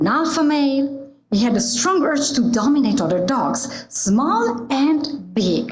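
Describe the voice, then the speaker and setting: A woman speaks at a fairly slow pace in an Italian accent. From Italy. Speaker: church member giving a reflection. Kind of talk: prepared reflection talk.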